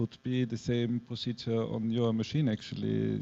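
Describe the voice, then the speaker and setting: A man with a German accent, medium pitch and fairly even intonation, in a dry, close sound with no echo. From Austria (Graz). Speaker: artist. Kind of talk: public artist talk. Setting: gallery event with audience. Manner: halting, searching for words.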